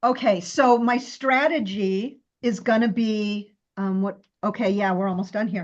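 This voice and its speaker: Speaking fairly slowly, a woman uses a fairly high pitch with ordinary pitch variation. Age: 60s. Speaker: coaching group member. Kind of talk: casual chat. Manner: halting.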